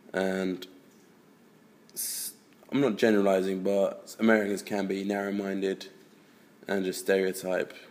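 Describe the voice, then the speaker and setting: A man with a fairly low pitch speaks at a moderate pace in a monotone, flat intonation, leaving long, frequent pauses. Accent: English. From England. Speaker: college student. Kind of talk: interview testimony. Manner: casual.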